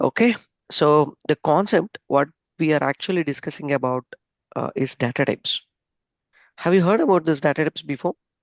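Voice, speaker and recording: Against a quiet background, a soft-spoken voice moves at a fairly quick pace but takes long, frequent pauses. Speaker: software trainer. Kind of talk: online lecture.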